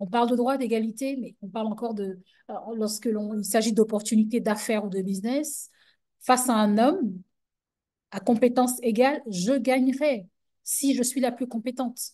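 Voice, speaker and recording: Over a quiet background, a woman with a fairly high pitch and a dark, mellow tone talks at a moderate pace with fairly even intonation and long, frequent pauses. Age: young. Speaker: businesswoman, panelist. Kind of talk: webinar panel talk.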